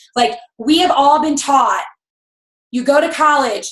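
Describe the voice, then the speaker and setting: A woman speaks loudly. Her pace is moderate. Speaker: network marketing team leader. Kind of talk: motivational team call. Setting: video call.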